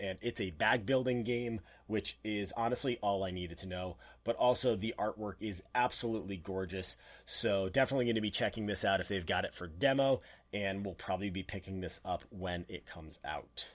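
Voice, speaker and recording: On a very clean recording with a silent background, a man talks in a fairly low pitch with ordinary pitch variation. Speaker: board game youtuber. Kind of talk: casual preview monologue. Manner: animated; fast.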